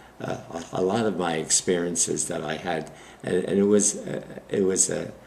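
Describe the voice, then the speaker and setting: The speaker's American accent comes with fairly even intonation, audible room echo and noticeable background noise. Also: man. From Brooklyn, New York. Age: 90s. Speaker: war veteran. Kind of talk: oral history interview. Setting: library interview. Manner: halting.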